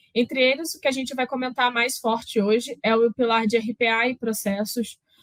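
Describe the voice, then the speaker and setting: A woman in a Carioca accent, high-pitched, with fairly even intonation and a dry, close sound free of echo. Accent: carioca, drawling. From Rio de Janeiro, Brazil. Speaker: process automation specialist, speaker. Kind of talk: conference talk.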